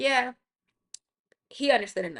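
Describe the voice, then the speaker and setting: This woman's voice has a bright, sharp tone. She is the one speaking. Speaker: podcast host. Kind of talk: casual chat. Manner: fast.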